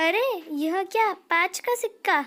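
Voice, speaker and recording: A cartoonish character voice, female-sounding, pitched extremely high. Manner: cheeky, sing-song taunting.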